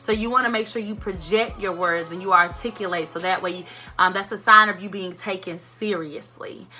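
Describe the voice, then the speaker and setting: Amid noticeable background noise, a woman talks at a fairly quick pace with medium pitch. Her intonation stays fairly even while her loudness swings widely. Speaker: confidence coach. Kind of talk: motivational talk to camera. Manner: casual, with many fillers.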